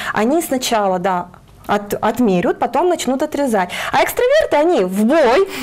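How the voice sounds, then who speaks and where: A woman's high-pitched voice. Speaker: career guidance specialist; guest, psychologist or trainer. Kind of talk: morning TV interview. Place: studio. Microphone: lapel.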